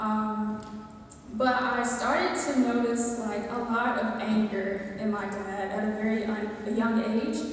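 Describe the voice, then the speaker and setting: A woman with an American accent and a fairly high voice talks at a very slow pace in a flat monotone, with strong room echo and light background noise. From US South, rural Georgia. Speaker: church member giving testimony. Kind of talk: testimony. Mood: earnest, emotional. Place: hall.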